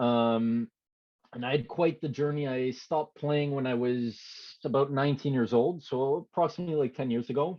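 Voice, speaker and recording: Speaking at a moderate pace, a man has a plain, everyday voice, fairly high pitch, and fairly even intonation. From Canada, Quebec (Montreal area). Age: 20s. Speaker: former hockey player turned online creator. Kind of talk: podcast interview. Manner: many fillers and restarts.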